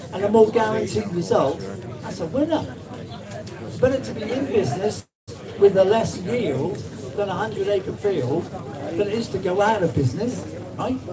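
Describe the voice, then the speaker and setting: Lively intonation moves at a moderate pace, broken by long, frequent pauses. Crowd noise fills the background, and audible room echo surrounds the voice. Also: man, big swings in loudness. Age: 70s. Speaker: small-scale farmer and compost seller. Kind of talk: talk at a public event, answering questions. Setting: small room with live audience. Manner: animated.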